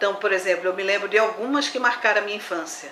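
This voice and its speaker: A woman's voice, with ordinary pitch variation, carries an audible room echo amid noticeable background noise. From Brazil, Olinda, Pernambuco. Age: 60s. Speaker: botanist. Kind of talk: interview.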